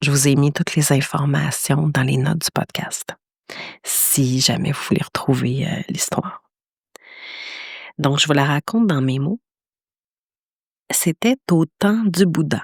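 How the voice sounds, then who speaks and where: A woman speaks at a very slow pace, leaving long, frequent pauses. Her very deep, low voice is somewhat breathy and shows ordinary pitch variation. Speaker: podcast host, meditation teacher. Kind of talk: podcast storytelling. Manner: hesitant, many fillers.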